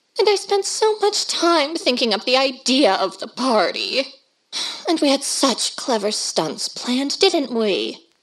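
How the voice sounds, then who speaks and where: A woman uses a put-on character voice that is high-pitched and shrill, with very wide pitch swings. She speaks fairly slowly. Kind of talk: 1930s radio horror drama. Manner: domineering, imperious, shrill.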